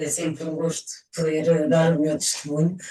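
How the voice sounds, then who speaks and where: This woman has a fairly low pitch. She speaks at a moderate pace with monotone, flat intonation. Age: 60s. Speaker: testimonial giver. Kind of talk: testimony. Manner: halting.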